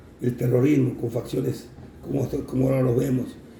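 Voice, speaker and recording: A man speaks at a moderate pace in a medium pitch. Room echo is audible. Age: 60s. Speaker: navy veteran. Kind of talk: interview. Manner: halting, many fillers.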